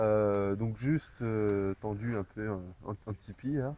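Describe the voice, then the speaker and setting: Over light background noise, a man's dark, mellow tone comes through with ordinary pitch variation and a dry sound with no echo. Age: 20s. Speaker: camper, birthday guest; guest. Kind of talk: casual chat. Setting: outdoors. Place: forest. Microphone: camera far.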